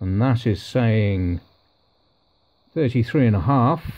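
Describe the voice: The delivery is slow, with lively intonation. The tone is slightly mellow. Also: man, medium pitch for a man.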